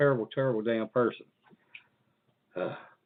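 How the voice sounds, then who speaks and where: Here a man is talking. He speaks with an Appalachian accent. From Virginia, Appalachian Mountains. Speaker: podcast host. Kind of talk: casual chat.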